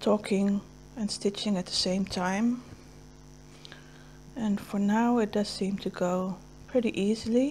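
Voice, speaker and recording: A woman with a dark, mellow, somewhat breathy tone speaks at a medium pitch and a fairly slow pace, with fairly even intonation and long, frequent pauses. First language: Dutch. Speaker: cross stitch video creator. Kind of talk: casual chat while stitching. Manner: halting.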